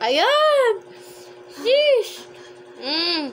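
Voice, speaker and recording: Lively intonation marks a woman's speech, with light background noise. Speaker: online seller, vlogger. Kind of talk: casual vlog chat, product review. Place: home room. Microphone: phone near.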